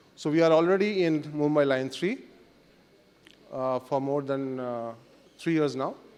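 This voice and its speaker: In a room with audible echo, a man with a Bengali accent and a fairly high pitch speaks at a fairly slow pace, with ordinary pitch variation and long, frequent pauses. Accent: Indian English, Bengali. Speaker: company country manager. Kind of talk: conference presentation. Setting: summit stage in hotel with audience. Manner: halting, many fillers.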